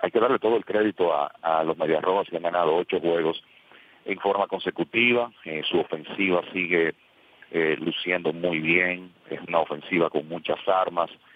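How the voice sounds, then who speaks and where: This man's pitch is very deep and low. It varies in an ordinary way. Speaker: baseball podcast co-host. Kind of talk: sports talk discussion.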